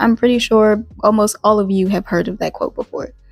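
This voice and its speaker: A woman with a slight Southern US accent speaks at a fairly high pitch. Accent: slight Southern US country twang. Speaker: YouTuber. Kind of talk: casual vlog monologue. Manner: halting, many fillers and restarts.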